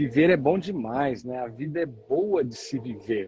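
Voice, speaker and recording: Somewhat breathy man's voice with a fairly high pitch. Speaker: author and motivational speaker. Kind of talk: interview. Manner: halting, frequent fillers.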